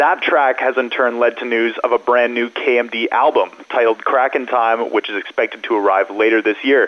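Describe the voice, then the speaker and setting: A man speaks in a normal speaking voice at medium pitch and a moderate pace, his intonation fairly even. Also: hardly any pauses. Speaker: music news journalist. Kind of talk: news reporting. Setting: phone call. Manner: polished, fluent, informative.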